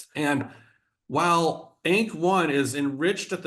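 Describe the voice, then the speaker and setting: A man's voice with audible room echo. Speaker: biology professor. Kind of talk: scientific seminar lecture. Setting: video call.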